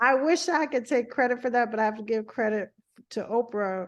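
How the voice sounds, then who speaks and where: A woman with an American accent talks against a quiet background. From US South. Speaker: physician. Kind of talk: interview. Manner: halting, many fillers.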